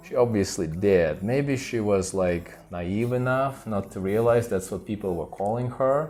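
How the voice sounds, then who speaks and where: With a plain, everyday voice and an American accent, a man speaks at a fairly low pitch with ordinary pitch variation and hardly any pauses. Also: fairly slow pace. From United States. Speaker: co-host of a couple's channel. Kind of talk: casual chat.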